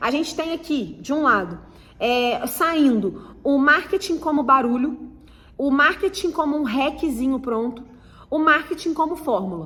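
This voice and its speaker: Bright and sharp in tone, a woman's high voice moves at a fairly slow pace with lively intonation. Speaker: marketing teacher. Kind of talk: online lecture. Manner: hesitant fillers.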